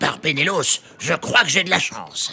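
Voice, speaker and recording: Moderate pacing marks this man's speech. He is doing a put-on character voice. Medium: audio drama. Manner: insinuating, sly.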